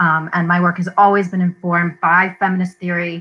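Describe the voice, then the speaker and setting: A woman speaks at a moderate pace with a fairly low pitch. There is light background noise. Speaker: panelist. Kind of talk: panel talk introduction. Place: home room.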